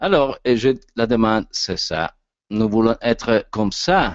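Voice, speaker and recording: A man with an Italian accent, medium pitch and ordinary pitch variation, at a very slow pace. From Italy. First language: Italian (speaking French). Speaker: actor and voice coach speaker. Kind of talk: lecture. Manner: halting.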